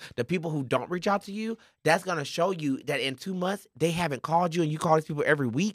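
Very fast pace in a very clean recording with a silent background. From rural Mississippi, US South. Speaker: podcast host. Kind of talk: casual chat. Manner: loud when upset.

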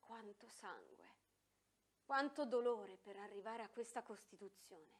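A woman's fairly high voice in a solemn tone, fairly slow, with ordinary pitch variation and long, frequent pauses. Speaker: speech reader. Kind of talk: reading aloud a 1955 lecture to students. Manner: earnest, solemn; emphatic, rhetorical, building to a climax.

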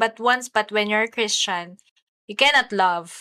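On a very clean recording with a silent background and a dry, close sound with no echo, a woman speaks at a moderate pace in a fairly high pitch, her tone bright and sharp with ordinary pitch variation. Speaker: podcast co-host. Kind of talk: casual chat.

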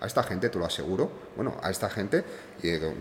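At a fairly quick pace, a man with a very deep, low pitch speaks with ordinary pitch variation. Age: 30s. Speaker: luxury car rental entrepreneur. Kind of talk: casual interview.

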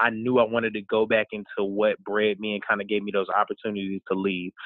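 A man speaks with an American accent at a medium pitch. His intonation is flat and monotone. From US South, Charlotte, North Carolina. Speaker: plus size model and college advisor. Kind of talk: casual interview.

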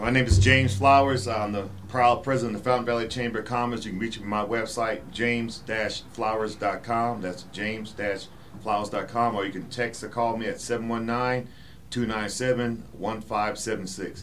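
A man with a Southern US accent speaks at a moderate pace in a medium pitch and a monotone, flat delivery, with noticeable background noise and audible room echo. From South Carolina, Charleston. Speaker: army veteran and chamber of commerce president. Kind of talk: town hall panel discussion.

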